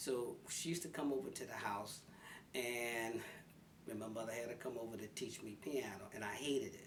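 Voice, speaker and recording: A man with a Philadelphia accent amid noticeable background noise and audible room echo. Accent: Philadelphia American English. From North Philadelphia, US. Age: 70s. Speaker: senior interviewee. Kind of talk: life story interview.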